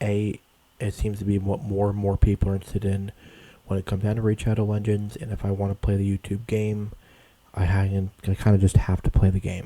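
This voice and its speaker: Quiet and somewhat breathy, a man with a fairly low pitch and a dark, mellow tone talks very fast in a monotone, flat delivery. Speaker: gaming YouTuber. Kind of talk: casual gaming commentary. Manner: hesitant, filler-heavy.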